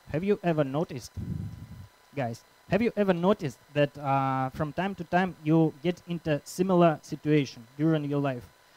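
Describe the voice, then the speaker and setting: Speaking with a Russian accent, a man uses a fairly high pitch. The sound is dry and close, with no echo. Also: ordinary pitch variation, moderate pace. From Russia, Krasnoyarsk. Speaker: conference organizer and speaker. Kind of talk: conference talk. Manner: halting.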